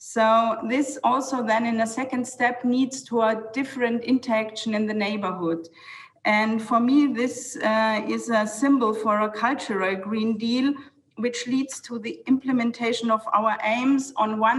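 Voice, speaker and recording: A woman with a German accent speaks at a fairly high pitch and fairly slow pace. Noticeable background noise can be heard. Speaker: city planning official. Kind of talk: panel talk. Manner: halting.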